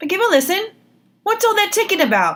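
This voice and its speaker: A woman puts on a character voice, extremely high-pitched, squeaky and growling. Her intonation is lively and her pace fairly quick. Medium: read story. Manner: boastful, snarling.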